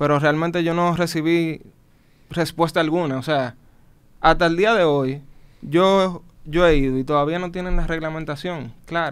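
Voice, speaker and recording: Long, frequent pauses break up this man's moderate pace, his fairly high pitch held in fairly even intonation. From Dominican Republic. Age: young. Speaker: business manager; guest. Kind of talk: interview. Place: studio. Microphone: studio mic.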